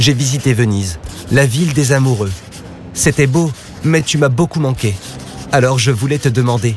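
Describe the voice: The speaker reads aloud plainly. Pitch variation stays ordinary.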